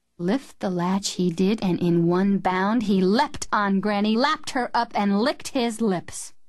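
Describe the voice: The clip is plain reading aloud. There is nothing beyond that.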